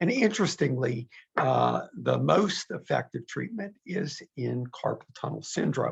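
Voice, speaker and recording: The recording is dry and close, with no echo. A man speaks at a fairly slow pace. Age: 60s. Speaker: physician. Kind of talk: webinar presentation. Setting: online webinar. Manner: halting, many fillers.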